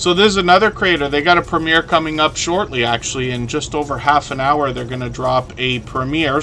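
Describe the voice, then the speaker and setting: A man with a Canadian accent at a fairly quick pace, ordinary pitch variation, over noticeable background noise. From Canada.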